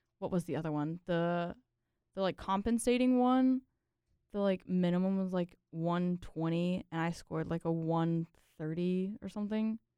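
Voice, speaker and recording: A woman talks in an ordinary speaking voice at a moderate pace, her pitch fairly low, with a dry, close sound and no echo. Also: ordinary pitch variation. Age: 20s. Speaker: engineering student. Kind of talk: casual chat.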